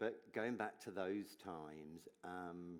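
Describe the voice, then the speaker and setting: With an English accent, a man speaks in a very deep, low voice. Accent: English accent, noticeable. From English Midlands. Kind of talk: onstage interview, personal testimony. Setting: stage with audience at gala dinner.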